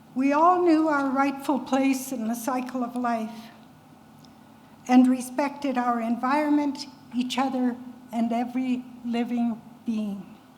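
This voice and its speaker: With long, frequent pauses and audible room echo, a woman speaks at a fairly slow pace in a high pitch and fairly even intonation. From Canada, Cree First Nation. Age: 80s+. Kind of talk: public talk.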